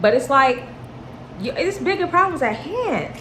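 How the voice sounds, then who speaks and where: An animated woman with an American accent speaks at a moderate pace amid noticeable background noise and audible room echo. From US. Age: 20s. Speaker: vlogger. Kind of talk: casual Q&A chat.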